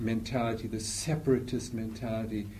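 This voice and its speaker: Somewhat breathy, the man's voice holds a medium pitch. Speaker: lecturer on evangelicalism. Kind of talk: lecture with Q&A. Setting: talk to a live audience. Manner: informal, hesitant, repeating words.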